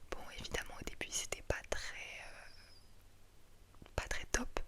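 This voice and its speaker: A woman's whisper with noticeable background noise around it. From France. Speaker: ASMR creator. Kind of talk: casual talk to camera, FAQ answers. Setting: studio, home recording. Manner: soft-spoken, whispering.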